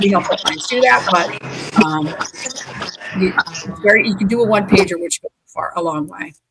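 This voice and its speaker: A woman at medium pitch with lively intonation and a moderate pace, music in the background. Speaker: equity plan administration specialist. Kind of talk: webinar panel discussion. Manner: loud.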